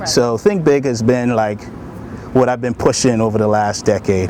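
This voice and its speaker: A man at a fairly quick pace with ordinary pitch variation, against noticeable background noise. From Bahamas. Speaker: army sergeant and broadcaster. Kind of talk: interview answer.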